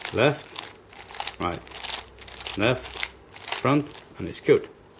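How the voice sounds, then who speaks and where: A man's voice over noticeable background noise. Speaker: puzzle hobbyist YouTuber. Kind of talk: tutorial. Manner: hesitant, many fillers.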